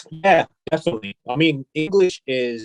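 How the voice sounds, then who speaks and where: Lively intonation marks this man's speech in an Australian accent. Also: dry, close sound with no echo. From South Korea, raised partly in Australia. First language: Korean. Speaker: fashion brand CEO and designer. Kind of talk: interview. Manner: hesitant, repeats words.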